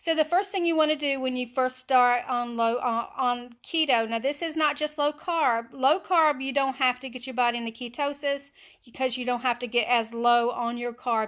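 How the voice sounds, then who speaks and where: A high-pitched woman with a Southern US accent at a moderate pace, with ordinary pitch variation. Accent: US South. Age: 60s. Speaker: keto diet vlogger. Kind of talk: casual live stream tips. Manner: halting, many fillers.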